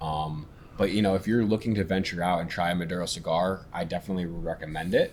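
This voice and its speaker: A very deep, low male voice at a fairly quick pace, monotone and flat. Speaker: cigar podcast co-host. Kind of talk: casual chat. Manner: stuttering.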